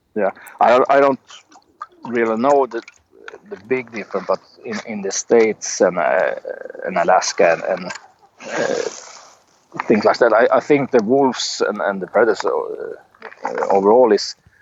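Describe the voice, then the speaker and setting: A man talks at a moderate pace with a Swedish accent. He leaves long, frequent pauses. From Sweden. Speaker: outdoorsman. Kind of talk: interview. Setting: Skype call from the forest outdoors. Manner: halting, many hesitations.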